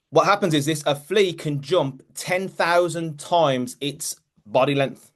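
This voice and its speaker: This man speaks with a fairly high pitch. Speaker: mindset coach. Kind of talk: motivational team call talk. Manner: fast; animated.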